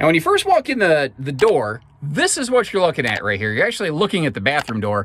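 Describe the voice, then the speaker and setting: At a very fast pace with hardly any pauses, a man talks with a fairly high pitch and very wide pitch swings. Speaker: RV dealer presenter. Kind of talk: product walkthrough tour. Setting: inside small camper trailer. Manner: casual, halting with fillers.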